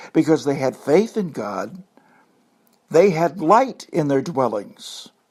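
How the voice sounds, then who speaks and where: Very slowly, a man with a fairly high pitch and vocal fry talks with very wide pitch swings. The recording is very clean, the background silent. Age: 70s. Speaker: pastor. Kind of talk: sermon. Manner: animated.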